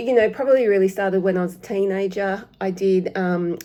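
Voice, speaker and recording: Medium-pitched female speech in an Australian accent, fairly even in intonation, at a moderate pace. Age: 50s. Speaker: cross-stitch vlogger. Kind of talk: casual vlog talk to camera. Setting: home. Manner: halting, many fillers.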